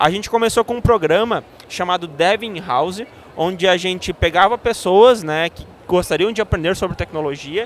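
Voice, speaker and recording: Speaking in a southern Brazilian accent, the voice keeps a moderate pace with ordinary pitch variation. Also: man. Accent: gaúcho Brazilian Portuguese. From southern Brazil, Rio Grande do Sul (Santa Maria). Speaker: tech education analyst. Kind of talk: podcast interview. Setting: live event podcast set. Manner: hesitant, many filler sounds.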